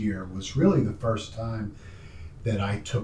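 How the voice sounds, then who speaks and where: A somewhat breathy man's voice, fairly low in pitch, with audible room echo. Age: 60s. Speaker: documentary filmmaker interviewing his father. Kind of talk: family interview conversation. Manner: halting.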